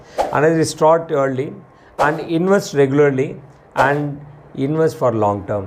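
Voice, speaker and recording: A man speaks with a Tamil Indian accent at a fairly high pitch. There is noticeable background noise. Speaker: financial planner, channel host. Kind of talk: explainer talk to camera. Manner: halting, with restarts.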